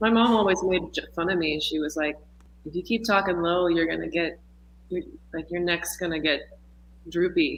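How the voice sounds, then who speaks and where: Husky and with an American accent, the voice moves at a moderate pace broken by long, frequent pauses. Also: woman, fairly low pitch for a woman, ordinary pitch variation. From Texas. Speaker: musician and dancer. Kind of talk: casual interview chat. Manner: halting, many fillers.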